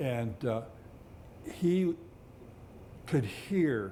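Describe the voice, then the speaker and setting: With an American accent, a man speaks in a dark, mellow tone. His voice is somewhat breathy, with lively intonation. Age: 70s. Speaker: retired police officer. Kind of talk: oral history interview. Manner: halting, many fillers.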